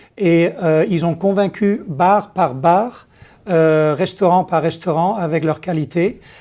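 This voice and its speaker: A very slow, high-pitched male voice with a dark, mellow tone and a Dutch accent, on a very clean recording with a silent background. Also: ordinary pitch variation, very even loudness. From Netherlands. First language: Dutch (speaking French). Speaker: company executive. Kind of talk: interview. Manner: halting, many hesitations.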